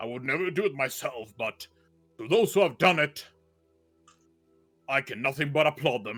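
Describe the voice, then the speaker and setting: With faint music in the background, a man does a put-on character voice at a fairly high pitch, using lively intonation and a moderate pace broken by long, frequent pauses. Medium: actual play. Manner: pompous, blustering.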